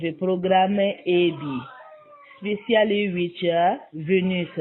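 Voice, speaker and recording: A woman speaks at a very slow pace with a medium pitch. Music plays in the background. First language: not English. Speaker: program client giving testimonial. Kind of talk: testimony. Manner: halting.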